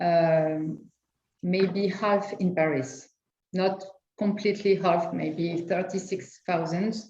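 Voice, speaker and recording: A woman with a French accent speaks at a medium pitch in a dark, mellow tone, with fairly even intonation. Her pace is very slow, and the room echo is audible. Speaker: lawyer. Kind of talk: panel discussion. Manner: halting.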